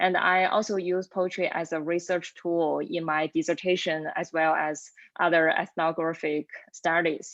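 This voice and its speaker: Against a quiet background, a woman with a Chinese accent speaks at a moderate pace in a monotone, flat intonation. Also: fairly low pitch for a woman. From China. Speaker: lecturer and poet. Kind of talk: panel self-introduction.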